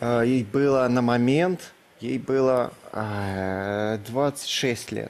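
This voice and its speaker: A man talks at a very slow pace and a medium pitch. His pitch varies in an ordinary way. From Russia, Kirov. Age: 20s. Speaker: bachelor contestant, blogger. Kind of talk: TV talk show interview. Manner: halting.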